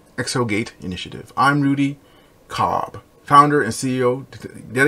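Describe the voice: The plain reading aloud keeps a fairly even intonation throughout.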